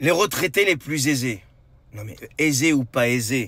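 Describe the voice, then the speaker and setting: A put-on character voice from a man, hoarse, at medium pitch and moderate pace, with lively intonation and big swings in loudness. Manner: indignant.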